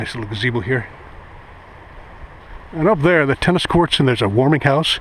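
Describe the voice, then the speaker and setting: At a very fast pace, a man talks with lively intonation. The sound is dry with no echo, and there is light background noise. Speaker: walking vlogger. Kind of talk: casual vlog chat. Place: open country. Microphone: phone near.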